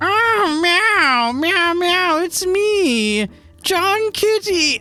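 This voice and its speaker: Using a put-on character voice, the speaker talks at a very slow pace with extremely high pitch. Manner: meowing.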